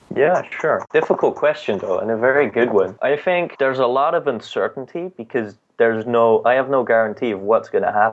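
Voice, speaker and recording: A man with a Dutch accent at a fairly quick pace, hardly any pauses. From Netherlands. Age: 20s. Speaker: music entrepreneur. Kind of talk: interview.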